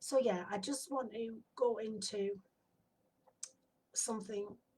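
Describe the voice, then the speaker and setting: In a northern English accent, a woman speaks very slowly in a relaxed tone, her fairly high, somewhat breathy voice dark and mellow, with ordinary pitch variation. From northern England. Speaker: spiritual medium and sound healer. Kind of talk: casual self-introduction to camera. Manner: relaxed, hesitant with fillers.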